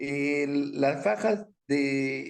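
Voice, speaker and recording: A man talks with lively intonation. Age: 60s. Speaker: aviation businessman. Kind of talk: interview. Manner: animated.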